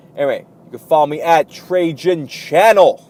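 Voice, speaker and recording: Lively intonation runs through a man's speech, with noticeable background noise behind him. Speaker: commentary youtuber. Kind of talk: casual vlog commentary.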